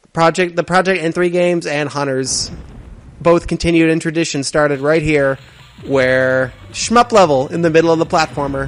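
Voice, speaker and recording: Music plays in the background while a man talks at a moderate pace. His pitch is fairly high, with ordinary variation. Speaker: let's play gamer and game developer. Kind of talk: gameplay commentary. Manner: hesitant, many fillers.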